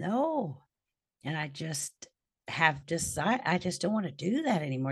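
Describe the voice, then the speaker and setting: A woman's somewhat breathy, fairly low voice at a moderate pace, with very wide pitch swings. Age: 50s. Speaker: podcast guest. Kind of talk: casual chat. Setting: video call.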